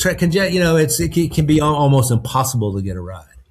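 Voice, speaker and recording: A man with a Southern US accent speaks at a very fast pace with very wide pitch swings. His voice is fairly high in pitch and somewhat breathy. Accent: Southern US accent, retained. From North Carolina. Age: 60s. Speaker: podcast guest. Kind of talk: casual chat. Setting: video call. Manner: relaxed, filler-heavy.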